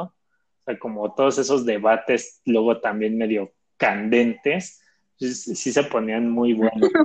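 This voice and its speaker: This man talks at a fairly slow pace in a normal speaking voice, with medium pitch and fairly even intonation. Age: 20s. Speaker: podcast host, bank employee. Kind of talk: casual chat.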